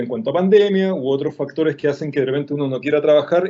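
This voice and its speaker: A man speaks here. His pitch is fairly high. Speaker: illustrator and design teacher. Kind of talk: online workshop lecture. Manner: fast.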